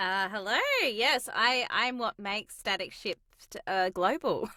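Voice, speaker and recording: In a dry, close recording with no echo, a fairly high-pitched woman with an Australian accent speaks very slowly with ordinary pitch variation. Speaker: voice actress. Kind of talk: casual chat.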